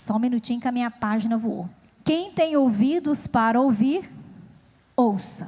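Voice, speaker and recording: With a dark, mellow tone and a high pitch, a woman talks at a fairly slow pace, her lively intonation broken by long, frequent pauses. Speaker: preacher. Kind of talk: sermon.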